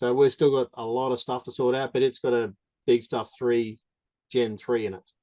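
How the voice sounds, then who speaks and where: A voice with an Australian accent has a dark, mellow tone and monotone, flat intonation. It moves at a moderate pace, recorded dry and close with no echo. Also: man, medium pitch for a man. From Australia, Darwin. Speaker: drag racer. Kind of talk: Q&A with instructor.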